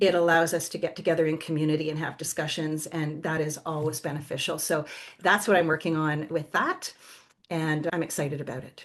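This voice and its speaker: A woman with a Canadian accent, very deep, low pitch, monotone, flat intonation and a fairly quick pace. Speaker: somatic movement educator and yoga teacher. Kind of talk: podcast interview.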